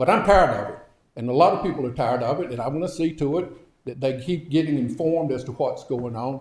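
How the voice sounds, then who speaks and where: Speaking very fast, a man uses a fairly high pitch. Room echo is audible. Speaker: public commenter. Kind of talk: public comment. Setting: council meeting.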